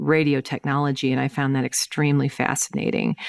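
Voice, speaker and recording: A voice with a Southern US accent, dry and close with no echo. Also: woman, very clean recording, silent background. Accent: Southern-sounding US. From US Midwest, St. Louis, Missouri. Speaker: tech executive, chief innovation officer. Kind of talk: interview. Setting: podcast.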